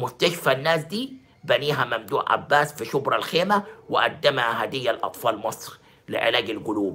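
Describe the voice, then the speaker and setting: The voice has lively intonation and keeps a moderate pace. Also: man. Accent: Egyptian. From Egypt. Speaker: sports journalist and pundit; sports journalist, pundit. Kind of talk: video monologue commentary. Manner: animated. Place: home room. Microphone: phone near.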